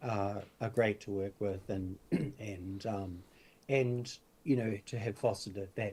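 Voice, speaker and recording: A man with a New Zealand accent, fairly low in pitch and somewhat breathy, at a fairly slow pace with fairly even intonation. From New Zealand, far north. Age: 60s. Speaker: spiritual teacher and medium. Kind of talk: interview. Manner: halting, many fillers.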